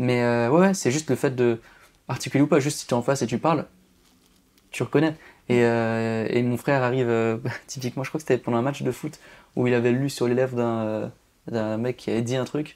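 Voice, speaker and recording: Speaking at a fairly quick pace, a man keeps medium pitch and fairly even intonation. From rural Alsace, France. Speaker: magician. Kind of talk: podcast interview. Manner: over-articulated; casual, informal.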